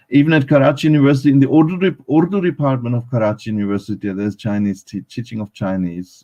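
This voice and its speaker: Speaking at a very fast pace, a man has a dark, mellow tone and lively intonation. The sound is dry and close, with no echo. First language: German. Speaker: academic speaker on Pakistan. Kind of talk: panel talk at live online event. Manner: halting, many fillers.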